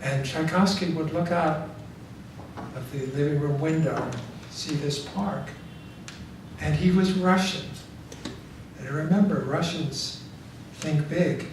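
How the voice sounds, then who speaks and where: A man with an American accent at a fairly high pitch, fairly slow and with long, frequent pauses, ordinary pitch variation, audible room echo and noticeable background noise. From New York City. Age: 70s. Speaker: author. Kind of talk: audience Q&A. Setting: library talk with audience.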